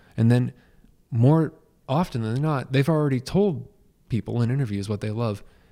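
A man with a West Coast accent speaks at a moderate pace, his medium pitch carrying ordinary variation and a dark, mellow tone. He leaves long, frequent pauses on a very clean recording with a silent background. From US Pacific Northwest, Portland, Oregon. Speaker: book reviewer and YouTuber. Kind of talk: casual interview.

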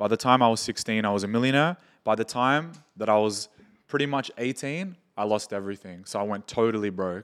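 On a very clean recording with a silent background, a man with an Australian accent talks at a fairly quick pace in a fairly low pitch with ordinary pitch variation. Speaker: entrepreneur and music manager. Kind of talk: casual chat.

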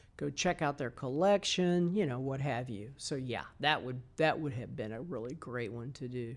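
A man talks in an unremarkable speaking voice, medium in pitch, with ordinary pitch variation at a moderate pace. The recording is very clean, with a silent background. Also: hardly any pauses. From Texas, Dallas. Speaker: architect, design director. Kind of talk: interview.

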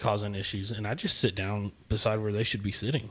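A man has an ordinary speaking voice with a fairly low pitch. He talks at a fairly quick pace. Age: 30s. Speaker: podcast host and church youth worker. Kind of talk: casual panel discussion. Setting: studio, around a table.

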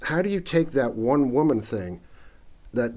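An unremarkable speaking voice from a man with an American accent, fairly high in pitch, at a fairly slow pace with lively intonation, against a quiet background. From New York City, Bronx. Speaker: podcast host. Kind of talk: interview, casual conversation.

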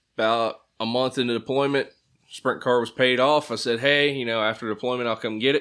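A man with an American accent delivers his words at a fairly quick pace in a flat monotone, his pitch medium. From Pennsylvania. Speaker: sprint car driver and Marine veteran. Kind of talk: casual interview chat. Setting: studio.

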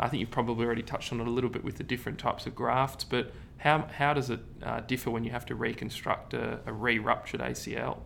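Spoken with fairly even intonation and an Australian accent. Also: man. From Ballarat, Victoria, Australia. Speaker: podcast host, medical student. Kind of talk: interview.

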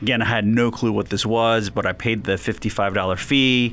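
In a plain, everyday voice, a man speaks with an American accent. His pace is moderate and his intonation fairly even. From US Northeast, West Philadelphia. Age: 40s. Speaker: business professor and author. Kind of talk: interview.

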